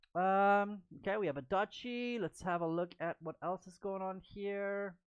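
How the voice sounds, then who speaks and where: A normal speaking voice at a fairly slow pace with fairly even intonation, the sound dry and close with no echo. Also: woman, medium pitch for a woman. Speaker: chess stream commentator. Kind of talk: live commentary. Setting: live stream.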